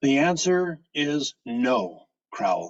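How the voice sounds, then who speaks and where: The speaker is male. He puts on a character voice. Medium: read story. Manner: brisk, dry.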